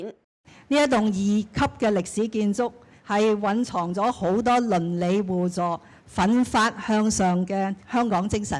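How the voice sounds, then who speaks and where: A woman's voice at medium pitch with ordinary pitch variation, a plain, everyday voice. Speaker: senior government official. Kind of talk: ceremony speech.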